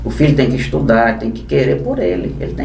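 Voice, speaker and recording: A man talks at a fairly quick pace. Audible room echo and noticeable background noise surround his voice. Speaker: law teacher for civil service exam candidates. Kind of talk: casual podcast interview. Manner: fast.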